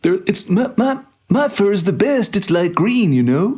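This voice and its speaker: This is a put-on character voice pitched fairly high. It moves along at a moderate pace. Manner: mellow, relaxed.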